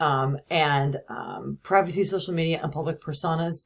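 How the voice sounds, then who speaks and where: A somewhat breathy woman's voice, fairly low in pitch, with ordinary pitch variation. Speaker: university instructor. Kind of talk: recorded lecture. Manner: fast; casual, with fillers.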